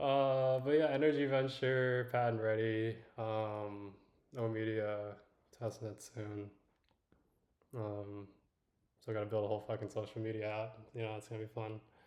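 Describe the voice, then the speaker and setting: A man mumbles in a relaxed tone with fairly even intonation. His speech is broken by long, frequent pauses. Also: medium pitch for a man, moderate pace. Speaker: livestreamer and tech founder. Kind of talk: casual livestream chat. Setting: livestream. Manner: mumbling, under-projected; relaxed, halting with fillers.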